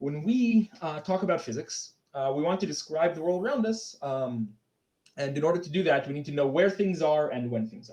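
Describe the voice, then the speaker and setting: The voice has a dark, mellow tone and very wide pitch swings. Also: man. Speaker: conference speaker presenting physics talk. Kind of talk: lecture. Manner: fast; halting, many fillers.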